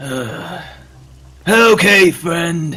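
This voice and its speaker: A raspy man speaks at a high pitch in a put-on character voice. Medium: actual play. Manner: cool, questioning.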